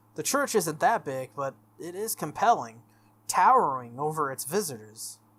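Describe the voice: Big pitch swings carry a fairly bright tone at a moderate pace.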